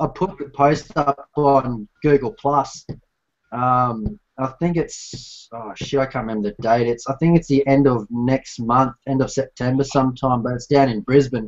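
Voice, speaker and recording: With an Australian accent, this man talks at a medium pitch. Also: ordinary pitch variation, moderate pace. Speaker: scale model builder, live stream host; live stream host. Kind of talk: casual chat. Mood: relaxed, laughing, chatty. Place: home room. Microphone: webcam.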